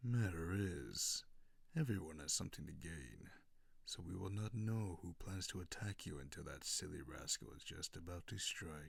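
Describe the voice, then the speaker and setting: A man speaks in a put-on character voice. His pitch is very deep and low, and his pace is moderate. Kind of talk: ASMR roleplay. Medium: solo performance. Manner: low, silky, mocking.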